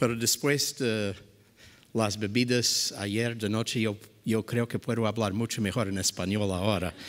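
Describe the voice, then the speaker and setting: A man with an English accent, fairly low in pitch, fairly slow in pace and fairly even in intonation. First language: English (speaking Spanish). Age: 60s. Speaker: physician and conference speaker. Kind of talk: conference lecture opening.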